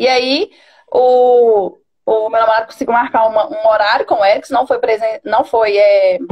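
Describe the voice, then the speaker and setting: Her voice is fairly high and keeps very even loudness. The woman speaks at a moderate pace with fairly even intonation. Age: 30s. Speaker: coaching client, bank business agent. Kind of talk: personal testimony in a live stream. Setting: online live stream. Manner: hesitant, many fillers.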